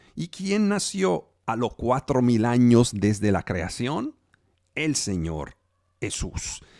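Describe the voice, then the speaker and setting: A man with a non-native accent, very wide pitch swings and a very slow pace, in a dry, close sound with no echo. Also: medium pitch for a man, very clean recording, silent background. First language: not Spanish (speaking Spanish). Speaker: preacher. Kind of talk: sermon. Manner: halting.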